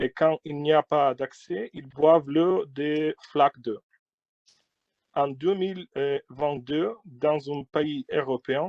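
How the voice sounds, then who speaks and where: Slowly, with long, frequent pauses, a man talks at a fairly high pitch with ordinary pitch variation. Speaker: Ukrainian member of parliament. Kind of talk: testimony. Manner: halting, many hesitations.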